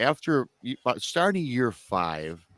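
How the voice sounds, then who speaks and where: The recording of this man has a dry, close sound with no echo. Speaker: podcast host. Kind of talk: live online talk show.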